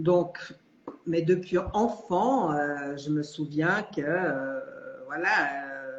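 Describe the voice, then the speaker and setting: The woman speaks at a very slow pace with ordinary pitch variation. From Switzerland. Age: 60s. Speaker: retiree, coaching client. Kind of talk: live interview testimony. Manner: hesitant, many fillers.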